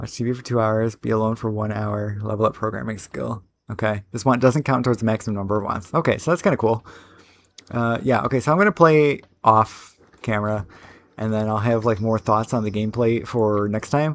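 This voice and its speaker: Fairly quick and fairly even in intonation, a man's medium-pitched voice comes through a very clean recording with a silent background. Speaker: gaming content creator / modder. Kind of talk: casual gameplay commentary. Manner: fast; rambling, filler-heavy (uh, like).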